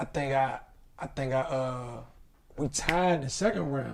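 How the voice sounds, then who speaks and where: The man's voice is somewhat breathy. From Washington DC. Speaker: comedian. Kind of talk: casual chat.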